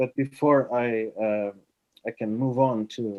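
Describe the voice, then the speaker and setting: A man speaks at a medium pitch with a dark, mellow tone and monotone, flat intonation. The sound is dry and close, with no echo. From Portugal. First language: Portuguese. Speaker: writer and artist. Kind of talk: online talk. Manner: halting, many fillers.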